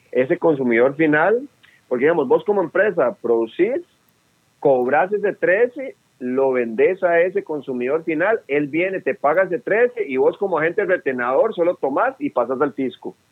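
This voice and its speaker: Lively in intonation, a man with a high pitch speaks at a moderate pace. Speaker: public accountant, tax specialist. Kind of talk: interview. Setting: phone call.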